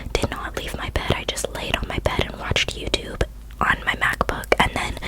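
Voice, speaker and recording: Noticeable background noise accompanies a woman whispering at a moderate pace. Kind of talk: ASMR whisper ramble, casual talk to camera. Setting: close-up microphone, studio/bedroom recording.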